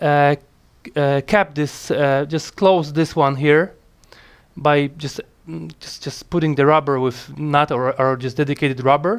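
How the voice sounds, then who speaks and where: A man's fairly high voice with a non-native accent, fairly slow in pace, fairly even in intonation, with big swings in loudness. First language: not English. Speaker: motorcycle mechanic hobbyist. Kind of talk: casual tutorial talk to camera. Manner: hesitant, many fillers.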